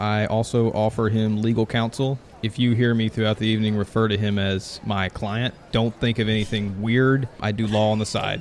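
Against noticeable background noise, a man with a fairly low pitch talks at a moderate pace in a monotone, flat intonation with very even loudness. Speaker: podcast co-host. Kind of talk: casual comedic banter.

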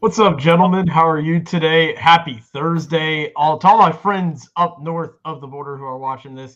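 Talking at a moderate pace with hardly any pauses, a man with a plain, everyday voice and a fairly high pitch shows ordinary pitch variation and big swings in loudness. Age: young. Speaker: sports podcast co-host. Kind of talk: casual chat.

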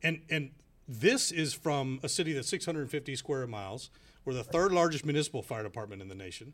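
An ordinary speaking voice belongs to a man with an American accent and lively intonation. The recording is very clean, with a silent background. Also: fairly high pitch for a man. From Houston, Texas. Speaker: firefighters union president. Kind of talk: radio interview.

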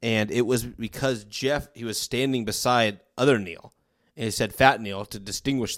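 On a very clean recording with a silent background, a man with vocal fry talks at a medium pitch with fairly even intonation. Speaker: podcast co-host. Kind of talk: casual chat. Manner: joking, chatty.

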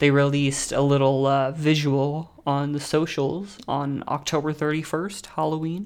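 A man with a normal speaking voice talks fairly slowly at a fairly high pitch, his intonation fairly even. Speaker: podcast host. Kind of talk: casual chat.

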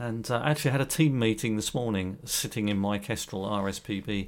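A British accent at a fairly quick pace with ordinary pitch variation, on a very clean recording with a silent background. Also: man. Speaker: podcast co-host, wildlife volunteer. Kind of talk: casual chat.

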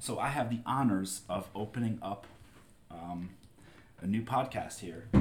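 Speaking at a fairly slow pace with long, frequent pauses, a man with a fairly low, somewhat breathy voice uses ordinary pitch variation. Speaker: guest, family member. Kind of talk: casual chat.

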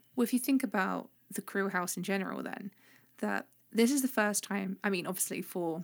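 This woman talks at a fairly quick pace in an animated tone. Her pitch sits in the medium range, with vocal fry. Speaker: podcast host. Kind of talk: casual chat. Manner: animated, jokey.

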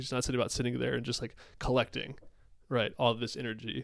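A man with a medium pitch. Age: 20s. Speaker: podcast host. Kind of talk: casual conversational interview.

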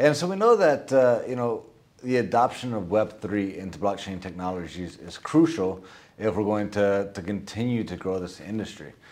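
Speaking in an ordinary speaking voice, a man talks at a moderate pace and a fairly low pitch. His pitch varies in an ordinary way, while his loudness swings widely. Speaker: podcast host. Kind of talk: interview conversation.

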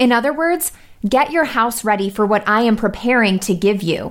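A woman with a fairly high pitch talks in an ordinary speaking voice in a very clean recording with a silent background. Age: 20s. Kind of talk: radio show with devotional talk.

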